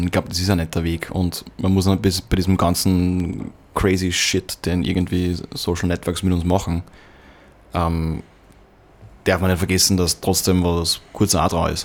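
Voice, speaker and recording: Speaking with a very deep, low pitch, a man keeps his intonation fairly even at a moderate pace, leaving long, frequent pauses. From Upper Austria. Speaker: podcast host. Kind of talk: casual chat.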